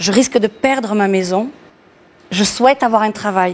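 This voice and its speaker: A woman's fairly high voice at a moderate pace. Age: 60s. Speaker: bus driver. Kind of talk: TV interview. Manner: halting.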